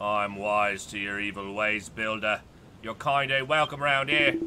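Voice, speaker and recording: Using a put-on character voice, a man speaks at a fairly low pitch and moderate pace. Clear noise sits in the background. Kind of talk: rustic, informal. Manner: gruff, suspicious, hostile.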